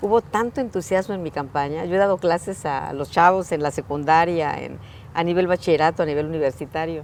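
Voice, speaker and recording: A woman talks at a fairly quick pace in a fairly low pitch, with ordinary pitch variation. A plain, everyday voice. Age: 60s. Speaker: politician, mayor. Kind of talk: interview.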